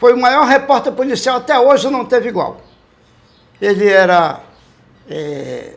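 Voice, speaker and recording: A man at an extremely high pitch, lively in intonation, speaking very slowly. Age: 70s. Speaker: veteran radio police reporter. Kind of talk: interview.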